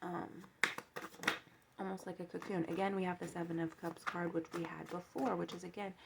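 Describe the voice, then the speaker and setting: Speaking at a fairly quick pace yet with long, frequent pauses, a woman keeps a fairly low pitch and a monotone, flat intonation over noticeable background noise. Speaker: tarot card reader. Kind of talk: tarot reading monologue. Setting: home, seated with coffee. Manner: fast.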